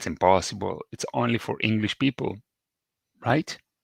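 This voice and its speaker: A man with an Italian accent speaks with lively intonation in a dry, close recording that has no echo. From Italy. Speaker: English teacher. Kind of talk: podcast monologue. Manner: slow, repetitive for learners.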